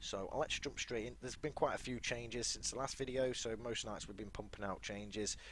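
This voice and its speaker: This man is soft-spoken. He talks at a very fast pace. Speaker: gaming YouTuber. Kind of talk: tutorial.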